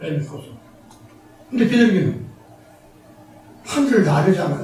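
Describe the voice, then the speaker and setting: At a moderate pace, the speech comes through with noticeable background noise. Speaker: pastor. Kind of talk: sermon. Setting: church.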